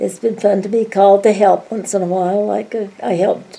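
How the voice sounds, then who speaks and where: Noticeable background noise sits under a woman's voice. Her medium pitch stays monotone and flat. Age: 90s. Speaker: grandmother interviewed by family. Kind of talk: family interview.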